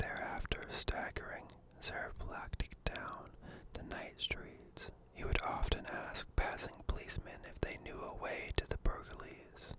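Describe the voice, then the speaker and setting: A man's calm whispering at a fairly slow pace, with big swings in loudness over noticeable background noise. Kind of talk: ASMR book reading. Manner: soft-spoken, calm.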